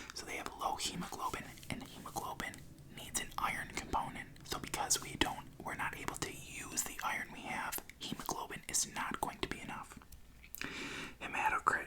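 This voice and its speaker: Whispering at a moderate pace, a man is heard through noticeable background noise. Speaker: ASMR creator. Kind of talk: ASMR reading of medical text. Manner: whispered, soft-spoken.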